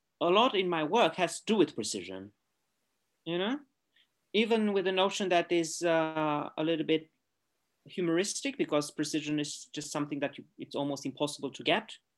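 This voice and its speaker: Speaking in a Romanian accent at a moderate pace, a man with a fairly high voice and lively intonation leaves long, frequent pauses on a very clean recording with a silent background. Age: 40s. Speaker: artist. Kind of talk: interview. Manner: halting.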